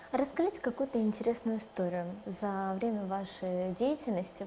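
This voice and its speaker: At a moderate pace, a woman talks in an ordinary speaking voice of medium pitch with ordinary pitch variation. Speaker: TV presenter. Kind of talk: TV interview. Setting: studio. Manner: formal.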